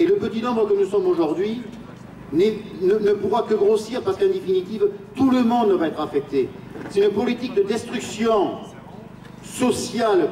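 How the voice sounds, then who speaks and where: Noticeable background noise sits behind a man's high-pitched voice. His loudness stays very even, and he takes long, frequent pauses. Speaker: trade union activist. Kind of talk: rally speech. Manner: halting, repeats words.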